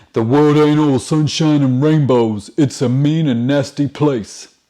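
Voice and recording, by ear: This man speaks at a fairly slow pace in a put-on character voice. His pitch sits fairly high.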